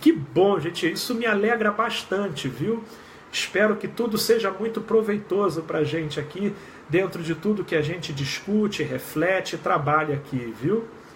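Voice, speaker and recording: The man's voice is high, with lively intonation. Background noise is noticeable. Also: moderate pace. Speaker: clinical psychologist. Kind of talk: live stream chat. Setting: live video stream.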